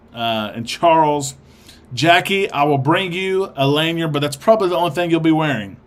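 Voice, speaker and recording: A man with a strong Arkansas accent, moderate pace and lively intonation. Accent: thick Arkansas. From Arkansas, US South. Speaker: livestream host of cruise show. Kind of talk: live stream chat reading viewer comments. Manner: casual, hesitant with many fillers.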